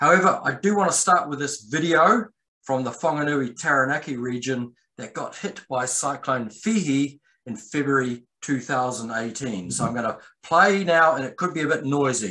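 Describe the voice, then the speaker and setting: At a moderate pace, a man with a fairly high pitch and a bright, sharp tone speaks with lively intonation. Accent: New Zealand. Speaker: landslide scientist. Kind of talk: presentation to landowners.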